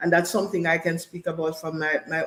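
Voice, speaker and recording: A woman speaks with a Jamaican accent over noticeable background noise. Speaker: panel guest. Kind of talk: panel discussion.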